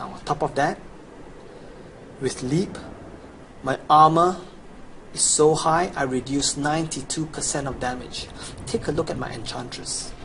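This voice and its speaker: A man with a Chinese accent, fairly high pitch, moderate pace, and long, frequent pauses. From China. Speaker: video game player / guide seller. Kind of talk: promotional gameplay walkthrough. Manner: casual, enthusiastic.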